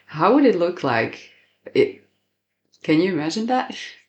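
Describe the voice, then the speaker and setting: The speaker has a Slovak accent. The background is quiet. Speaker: podcast host. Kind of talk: interview.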